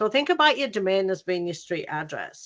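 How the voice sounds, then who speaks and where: In a British accent, a woman with a bright, sharp tone and a fairly low pitch speaks at a fairly quick pace against a quiet background. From UK. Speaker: graphic designer and workshop presenter. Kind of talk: workshop presentation. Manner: casual, many fillers.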